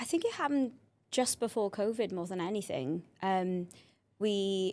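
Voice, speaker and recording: With a Welsh accent, a woman of medium pitch speaks with lively intonation. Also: moderate pace. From South Wales. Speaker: cheer programme founder and coach. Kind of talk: podcast interview.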